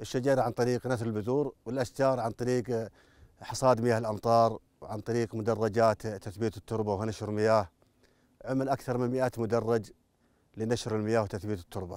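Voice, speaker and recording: With a Najdi accent, a man speaks at a moderate pace with fairly even intonation, his dry sound free of echo against a quiet background. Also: medium pitch for a man. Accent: Najdi Saudi Arabic. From Saudi Arabia, Najd. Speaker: national park worker. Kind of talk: interview answers describing work. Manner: proud, earnest. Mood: earnest, hopeful. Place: open country. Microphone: lapel.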